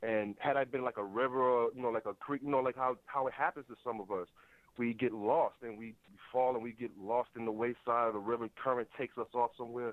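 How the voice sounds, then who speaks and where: It's an unremarkable speaking voice, a man at medium pitch who moves at a fairly quick pace with fairly even intonation. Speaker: caller. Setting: phone call.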